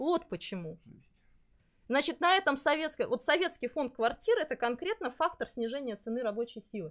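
Heard on a very clean recording with a silent background, a woman speaks at a moderate pace in a high voice with very wide pitch swings. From Buryatia, Russia. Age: 40s. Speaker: psychologist. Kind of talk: live stream interview. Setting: live stream with lapel mics.

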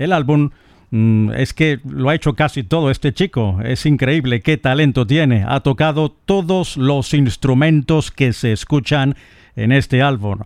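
Using an ordinary speaking voice, a man speaks at a fairly slow pace and a fairly high pitch. His pitch variation is ordinary and his loudness very even. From eastern Venezuela. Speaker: radio host. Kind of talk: radio music show presentation.

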